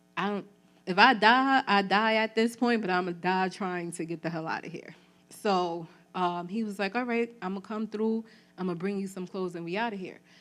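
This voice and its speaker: At a moderate pace and medium pitch, a woman speaks with fairly even intonation in a very clean recording with a silent background. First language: Spanish. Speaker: trafficking survivor and community organizer. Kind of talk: testimony. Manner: casual, conversational with fillers.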